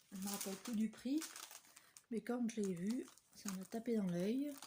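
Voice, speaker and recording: Noticeable noise sits behind this fairly slow speech, which shows ordinary pitch variation. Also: woman. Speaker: papercraft vlogger. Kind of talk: casual vlog chat. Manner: soft-spoken; hesitant with fillers. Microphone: no microphone, too quiet.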